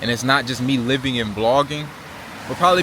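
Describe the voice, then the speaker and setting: Fairly quick speech from a man with an American accent, noticeable background noise behind it. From Virginia Beach, Virginia, US. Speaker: travel vlogger. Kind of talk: casual vlog monologue. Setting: eating while filming. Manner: animated, conversational.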